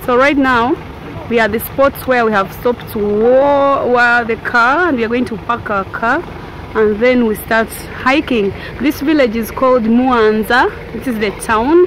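A woman's high-pitched voice, dry with no echo, over light background noise. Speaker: travel vlogger. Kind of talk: casual vlog chat.

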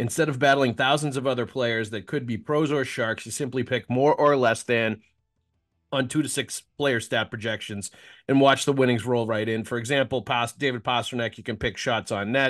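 Music plays in the background as a man talks. His pace is moderate and his intonation fairly even. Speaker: sports podcast host. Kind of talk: ad read in a podcast. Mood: casual, joking. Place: home room. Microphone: studio mic.

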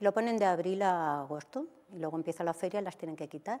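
A woman's dark, mellow voice at a fairly quick pace, with ordinary pitch variation. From Albacete, Spain; Spain. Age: 60s. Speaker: TV dating show guest; TV guest. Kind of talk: TV interview, personal life story. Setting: TV studio. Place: studio. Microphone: lapel.

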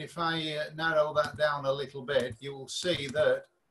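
A man speaks at a fairly slow pace. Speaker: radio speaker. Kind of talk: presentation talk. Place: home room. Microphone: video call.

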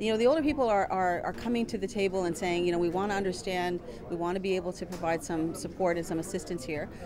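A woman talks at a very fast pace, medium pitch, with ordinary pitch variation. Noticeable background noise can be heard. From Ontario, Georgina Island First Nation; Ontario. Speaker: educator. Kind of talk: interview. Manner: halting, with repetitions and fillers. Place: hall.

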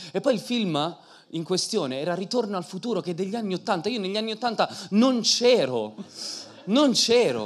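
A man's animated tone at a moderate pace. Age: 30s. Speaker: preacher and singer; preacher. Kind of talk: sermon. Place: church. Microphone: handheld.

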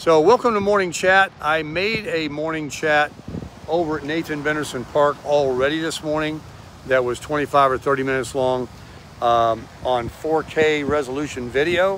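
A man speaks at a moderate pace with ordinary pitch variation. The sound is dry with no echo, over light background noise. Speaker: vlogger. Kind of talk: casual vlog chat. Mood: cheerful, chatty. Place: street. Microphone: phone near.

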